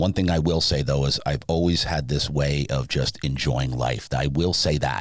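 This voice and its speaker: A man with a New Jersey accent speaks in an animated tone at a very deep, low pitch with very even loudness. Noticeable background noise runs underneath. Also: moderate pace, hardly any pauses. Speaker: sleep business owner. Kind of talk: podcast interview.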